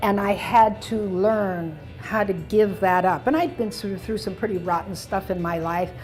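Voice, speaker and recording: A woman at medium pitch and a moderate pace, hardly pausing, with music in the background. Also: fairly even intonation. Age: 80s+. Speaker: doctor, former trauma surgeon. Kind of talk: interview answer.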